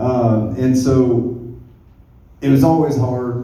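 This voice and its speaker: A man with a Southern US accent, heard with audible room echo. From rural US South. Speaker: stand-up comedian. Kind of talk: stand-up. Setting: stage with audience.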